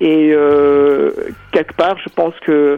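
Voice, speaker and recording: A fairly high-pitched male voice amid noticeable background noise. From South Africa. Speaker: choreographer and dancer. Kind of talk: radio interview. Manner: halting, many hesitations.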